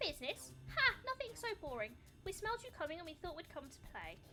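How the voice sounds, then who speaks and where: Over clear background noise, a woman does a playful, put-on character voice at an extremely high pitch and a fairly quick pace. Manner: playful, teasing.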